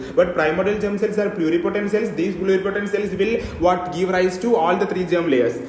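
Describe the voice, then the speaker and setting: With noticeable background noise and audible room echo, a man speaks fairly quickly at a high pitch for a man with fairly even intonation. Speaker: medical lecturer. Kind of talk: lecture. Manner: fast.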